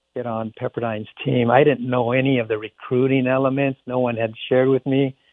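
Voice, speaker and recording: A man at a fairly quick pace with monotone, flat intonation. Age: 60s. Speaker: former college athlete and business leader. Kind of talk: interview conversation.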